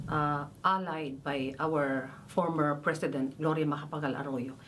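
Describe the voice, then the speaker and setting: Against audible room echo, a woman speaks very slowly in a very deep, low pitch. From Philippines. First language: Filipino language. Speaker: massacre widow, rights defender. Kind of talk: testimony. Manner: halting, hesitant.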